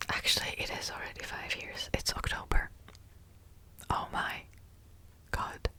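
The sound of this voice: A woman whispers. She speaks at a fairly slow pace.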